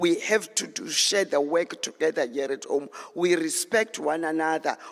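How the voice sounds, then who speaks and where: A man speaks at a high pitch over noticeable background noise. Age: 70s. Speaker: elder speaker at a youth panel. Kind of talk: closing address.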